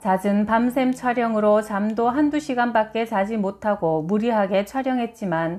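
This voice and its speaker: A woman speaks fairly slowly in an ordinary speaking voice, her pitch fairly high. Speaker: audiobook reader, publisher. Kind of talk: book reading, health narration.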